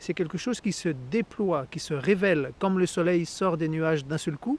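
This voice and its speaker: A man with a high voice talks at a fairly slow pace with ordinary pitch variation. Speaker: Buddhist lama and meditation teacher. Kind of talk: spiritual talk.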